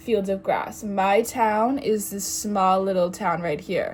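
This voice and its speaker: There is music in the background as a woman speaks at a medium pitch. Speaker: vlogger. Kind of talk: casual chat. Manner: rambling, halting.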